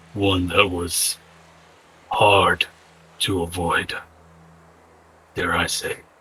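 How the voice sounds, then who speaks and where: This is a raspy, put-on character voice. It moves at a very slow pace with long, frequent pauses. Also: man, fairly low pitch for a man. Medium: actual play. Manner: formal, measured.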